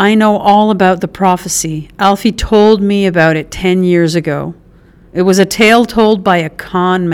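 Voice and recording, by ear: Reading aloud in a natural voice.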